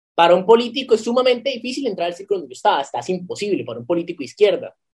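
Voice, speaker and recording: A man speaks at a very fast pace with ordinary pitch variation. His pitch is high. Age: 20s. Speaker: law student and political activist. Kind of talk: casual interview. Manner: halting, with repetitions.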